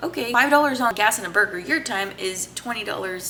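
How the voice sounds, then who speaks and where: A woman talks at a fairly quick pace, her pitch varying in an ordinary way, while noticeable noise fills the background. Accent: American. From Texas. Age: 20s. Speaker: personal finance vlogger. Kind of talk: casual explainer monologue.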